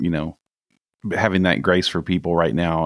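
Vocal fry at a moderate pace on a very clean recording with a silent background. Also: man. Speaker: guest, remote work expert. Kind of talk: casual conversation. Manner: loud.

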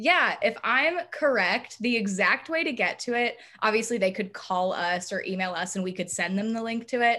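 A woman with an unremarkable speaking voice keeps a moderate pace and ordinary pitch variation, recorded very cleanly against a silent background. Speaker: student peer career educator. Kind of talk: casual chat.

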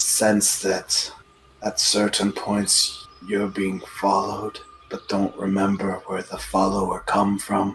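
A man puts on a character voice at a fairly low pitch. He talks at a fairly slow pace. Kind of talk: broken pidgin speech. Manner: cryptic, sly.

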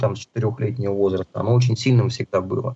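With a plain, everyday voice, a man talks at medium pitch using fairly even intonation. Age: 40s. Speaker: healthy-eating author and food entrepreneur. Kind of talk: interview.

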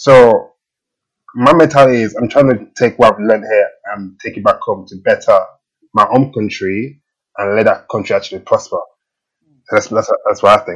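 A man speaks with a fairly low pitch and a slightly husky edge. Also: fairly even intonation, moderate pace.

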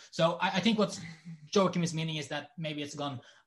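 A man is speaking. His voice is somewhat breathy. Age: 20s. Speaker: podcast guest. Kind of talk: casual chat. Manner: halting.

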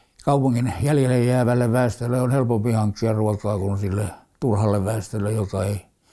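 With a dark, mellow tone, a man with a fairly low pitch speaks at a moderate pace with ordinary pitch variation. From Helsinki, Finland. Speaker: war veteran. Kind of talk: oral history interview. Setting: at home. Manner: halting.

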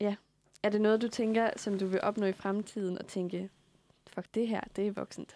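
A woman's medium-pitched voice at a fairly slow pace, with long, frequent pauses, a monotone, flat delivery, a dark, mellow tone, and a dry, close sound with no echo. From provincial Denmark. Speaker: podcast host. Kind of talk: casual interview chat. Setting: radio studio.

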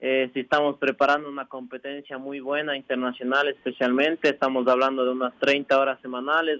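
At a moderate pace, a man speaks in a normal speaking voice with medium pitch and fairly even intonation. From Ecuador, Imbabura (Ibarra). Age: 20s. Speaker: professional cyclist. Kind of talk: radio interview.

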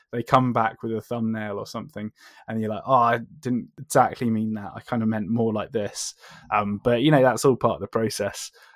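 A man in a southern English accent, medium-pitched and fairly quick, with monotone, flat intonation on a very clean recording with a silent background. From southern England. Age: 30s. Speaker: comic book writer. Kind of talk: casual interview. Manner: halting.

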